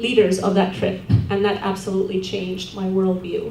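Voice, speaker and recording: A woman's medium-pitched voice with an Estonian accent at a moderate pace, with audible room echo and noticeable background noise. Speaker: award-winning alumna, social work academic. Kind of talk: award acceptance speech. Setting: banquet with audience.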